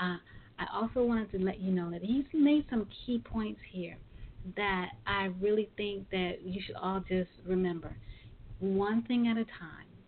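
A woman with an American accent speaks in a plain, everyday voice at medium pitch, at a fairly slow pace with ordinary pitch variation. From Brooklyn, New York. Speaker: podcast host. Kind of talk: interview; show closing remarks.

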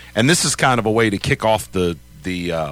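Over music in the background, a man with an American accent speaks at a fairly low pitch and a moderate pace, with very wide pitch swings. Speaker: sports radio host. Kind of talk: casual chat. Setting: studio.

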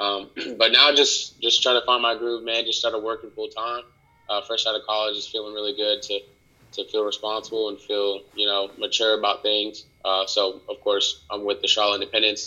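A man's fairly low voice with a bright, sharp tone, little pitch movement, a moderate pace and an American accent

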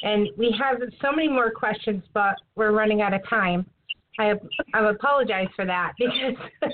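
A woman with a plain, everyday voice talks at a moderate pace, with a fairly high pitch, ordinary pitch variation and very even loudness. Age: 40s. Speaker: podcast co-host. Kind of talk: casual chat.

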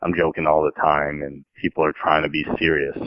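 Speaking at a moderate pace, the man has a very deep, low voice. He talks with an American accent. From Pennsylvania. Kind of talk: casual chat.

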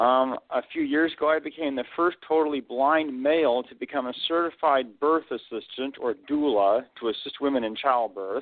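In a plain, everyday voice, a man with a fairly high pitch talks at a moderate pace with ordinary pitch variation and hardly any pauses. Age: 40s. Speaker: author and motivational speaker. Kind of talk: interview.

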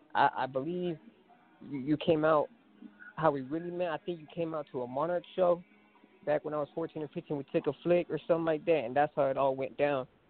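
A man at fairly high pitch with fairly even intonation and a fairly quick pace, music playing in the background. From Phoenix, Arizona. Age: 20s. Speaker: DJ. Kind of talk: radio interview. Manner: casual.

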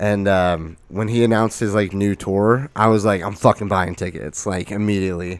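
A man with an American accent speaks in a normal speaking voice at a fairly low pitch and moderate pace, with fairly even intonation and hardly any pauses, on a very clean recording with a silent background. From Arizona. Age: 20s. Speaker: podcast host. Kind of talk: casual chat.

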